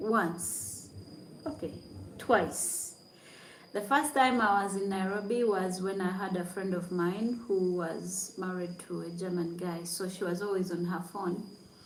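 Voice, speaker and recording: A woman speaks very slowly with fairly even intonation, over noticeable background noise and audible room echo. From Uganda. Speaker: YouTuber, content creator. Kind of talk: casual livestream chat. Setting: hotel room.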